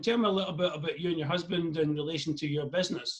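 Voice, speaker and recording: A man with a Scottish accent at a very fast pace. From Scotland. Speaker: interviewer. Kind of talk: interview. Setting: video call.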